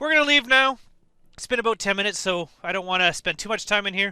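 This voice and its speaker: Talking at a very fast pace in a raised, projected voice, a man with a high pitch and a bright, sharp tone moves through very wide pitch swings, the sound dry and close with no echo. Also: very clean recording, silent background. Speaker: gaming video creator. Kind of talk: casual gameplay commentary. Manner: hesitant, with fillers.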